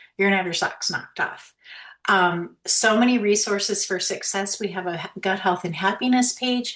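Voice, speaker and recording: A woman's voice at a medium pitch moves at a moderate pace, its pitch varying in an ordinary way. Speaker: direct sales team leader, call host. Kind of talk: sales pitch. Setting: video call. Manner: animated.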